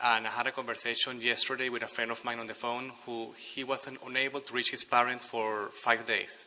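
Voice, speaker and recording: At a moderate pace and medium pitch, a man talks while noticeable background noise carries on. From Venezuela. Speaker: public commenter. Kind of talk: public comment at city meeting. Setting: city commission chamber.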